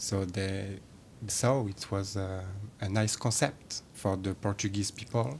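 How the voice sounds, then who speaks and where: The speaker, a man, has a French accent. He talks very slowly. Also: fairly low pitch for a man, ordinary pitch variation. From France. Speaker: shop creative lead. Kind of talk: casual interview chat.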